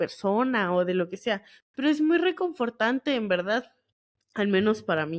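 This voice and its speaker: A woman with an unremarkable speaking voice talks at a fairly slow pace with lively intonation. The background is quiet. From northern Mexico, Monterrey area. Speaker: geoscience podcast host. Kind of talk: casual solo podcast talk. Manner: casual, colloquial with fillers.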